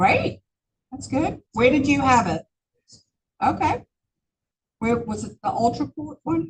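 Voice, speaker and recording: A woman speaks at a fairly slow pace with a fairly high pitch and vocal fry. Her pitch swings very widely, and she takes long, frequent pauses. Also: big swings in loudness. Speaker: real estate agent and trainer. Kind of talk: training class. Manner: conversational, many fillers.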